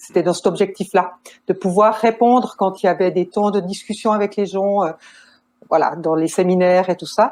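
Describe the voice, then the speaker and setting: In a Swiss accent, a woman speaks at a moderate pace with ordinary pitch variation. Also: medium pitch for a woman. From Switzerland. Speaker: nurse and family counselor. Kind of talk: podcast interview.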